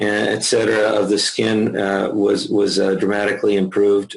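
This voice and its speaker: The speaker is a man. He talks at a moderate pace. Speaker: medical physicist. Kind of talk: interview presentation on product research. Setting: call. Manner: hesitant, many fillers and restarts.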